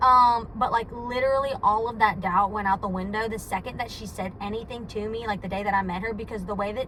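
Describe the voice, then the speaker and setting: Over noticeable background noise and audible room echo, a woman talks at a very fast pace with hardly any pauses. Her pitch is fairly high and her intonation fairly even. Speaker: vlogger. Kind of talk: casual vlog monologue. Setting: in a car. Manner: loud; rambling with many fillers.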